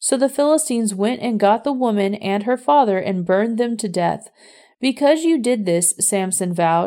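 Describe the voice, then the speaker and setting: Someone speaks in a plain, everyday voice at a moderate pace. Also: woman. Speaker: scripture reader. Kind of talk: audiobook-style scripture reading, measured and solemn. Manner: steady, even narration; formal, reverent.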